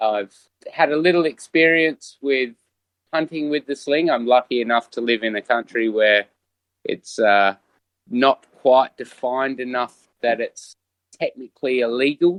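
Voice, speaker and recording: At a fairly slow pace, a man with an Australian accent speaks at medium pitch with ordinary pitch variation, the sound dry and close with no echo. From Western Australia. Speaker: sling hunter. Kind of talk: casual chat.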